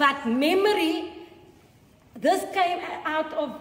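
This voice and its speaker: Noticeable background noise and audible room echo fill the recording. The woman's intonation is lively. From South Africa. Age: 60s. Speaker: museum educator. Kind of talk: guided tour talk. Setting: museum.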